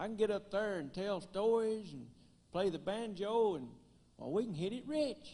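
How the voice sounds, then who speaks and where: Moderate pace, a strong Tennessee accent and a dark, mellow tone. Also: man. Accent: thick rural Tennessee. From US South, West Tennessee (Gleason). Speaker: banjoist and comedian. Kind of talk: stand-up.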